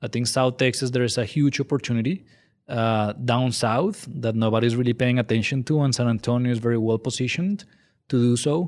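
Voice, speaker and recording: With a Colombian accent, a man talks at a medium pitch and a fairly quick pace, with ordinary pitch variation and very even loudness, in a very clean recording with a silent background. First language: Spanish. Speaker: angel investor group director. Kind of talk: interview.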